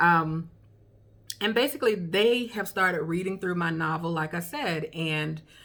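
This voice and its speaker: With a strong Southern accent, a woman speaks at a moderate pace in a fairly low pitch with ordinary pitch variation. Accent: heavy Southern. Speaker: beginning author and vlogger. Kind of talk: tutorial. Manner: casual, with many fillers.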